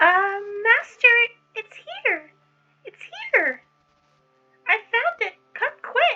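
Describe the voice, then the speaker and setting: An extremely high-pitched, squeaky put-on character voice at a very slow pace, with long, frequent pauses. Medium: read story. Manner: excitable, stammers when scared.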